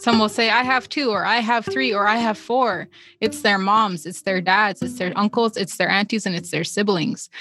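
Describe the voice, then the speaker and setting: A woman's medium-pitched voice at a moderate pace, ordinary pitch variation, and music in the background. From northwestern Ontario, Canada (First Nations reserve). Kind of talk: interview.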